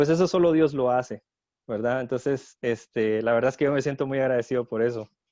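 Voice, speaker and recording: At a fairly quick pace, a man talks at medium pitch with ordinary pitch variation and a dark, mellow tone, the sound dry and close with no echo. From Guatemala, Jutiapa. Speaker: teacher. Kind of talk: testimony.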